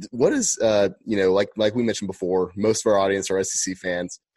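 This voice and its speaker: Against a quiet background, a man with an unremarkable speaking voice talks at a moderate pace, fairly low in pitch with fairly even intonation. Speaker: podcast co-host. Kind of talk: casual interview.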